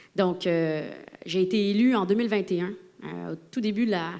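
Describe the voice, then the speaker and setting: Speaking at a moderate pace, a woman keeps her medium pitch in fairly even intonation. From Quebec. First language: Spanish (speaking French). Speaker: politician. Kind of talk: political debate.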